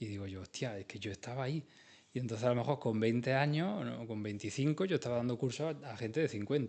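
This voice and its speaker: A man with an Andalusian accent, medium pitch, ordinary pitch variation and a very fast pace. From Andalusia, Spain (Jaén province, near Úbeda). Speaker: industrial design trainer and consultant. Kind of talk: radio interview. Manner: animated.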